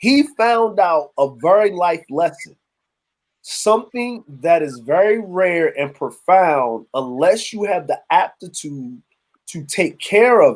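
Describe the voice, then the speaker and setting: A man's high-pitched voice with very wide pitch swings, at a fairly slow pace, in a very clean recording against a silent background. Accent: Baltimore. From Baltimore, US. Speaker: livestream panelist. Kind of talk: casual chat. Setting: livestream.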